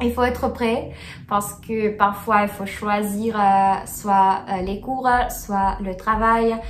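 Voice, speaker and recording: In a Russian accent, a woman with a medium pitch speaks very slowly and with fairly even intonation, while room echo is audible and background noise is noticeable. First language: Russian (speaking French). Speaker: student vlogger. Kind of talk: casual vlog chat. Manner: halting, many hesitations.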